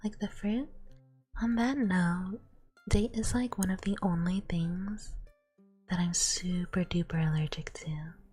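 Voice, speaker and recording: With music in the background, a woman of medium pitch and ordinary pitch variation speaks at a fairly slow pace, leaving long, frequent pauses. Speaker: ASMR streamer. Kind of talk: casual talk to camera, live stream chat with viewers. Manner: soft-spoken.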